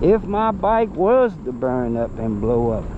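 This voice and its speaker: Noticeable noise in the background, along with very broad swings in pitch. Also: man. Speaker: e-bike YouTuber. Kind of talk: casual vlog monologue. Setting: outdoors on e-bike ride. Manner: casual, animated.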